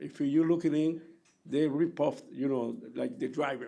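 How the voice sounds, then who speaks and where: A man talks at a moderate pace in a fairly high pitch. His tone is dark and mellow, with vocal fry. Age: 60s. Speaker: taxi driver giving public testimony. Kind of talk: public hearing testimony. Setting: public hearing room. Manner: halting.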